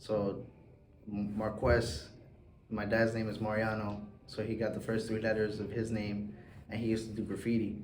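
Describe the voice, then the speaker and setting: A man speaks at a moderate pace in a fairly low, somewhat breathy voice with monotone, flat intonation. He takes long, frequent pauses, and the room echo is audible. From South Florida (Hialeah), Cuban and Puerto Rican family. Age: 20s. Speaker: artist. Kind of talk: interview.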